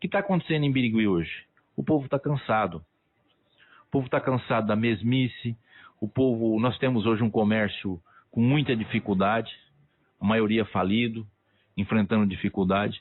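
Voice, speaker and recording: A man speaks at a moderate pace with medium pitch and ordinary pitch variation. He leaves long, frequent pauses. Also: very even loudness. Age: 60s. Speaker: local political candidate. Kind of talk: radio interview. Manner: animated.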